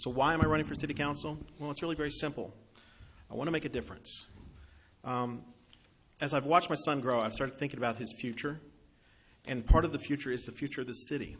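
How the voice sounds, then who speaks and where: Talking very fast but with long, frequent pauses, a man with an American accent uses a fairly high pitch and fairly even intonation. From Kentucky, US South. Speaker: city council candidate. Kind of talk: campaign speech and audience Q&A. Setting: banquet room meeting with audience.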